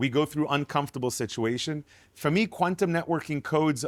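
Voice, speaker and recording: Lively intonation marks this man's speech, recorded with a dry, close sound and no echo. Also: very clean recording, silent background. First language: not English (English is his third language). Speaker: networking entrepreneur. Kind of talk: casual conversation. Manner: halting with repetitions.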